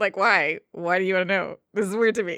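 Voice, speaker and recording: A woman speaks in a normal speaking voice at a medium pitch. Her pace is fairly quick against a quiet background. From New Jersey, US. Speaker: tabletop game master. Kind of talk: casual chat.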